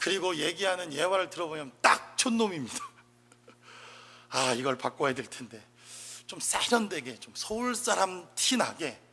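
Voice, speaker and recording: The man's voice is bright and sharp in tone. It sits at a high pitch. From South Korea, Chungcheong province. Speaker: pastor. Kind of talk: sermon.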